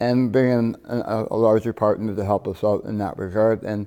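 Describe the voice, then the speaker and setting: In a very clean recording with a silent background, a man talks in a fairly low pitch with a dark, mellow tone. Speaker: business owner. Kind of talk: interview. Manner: halting.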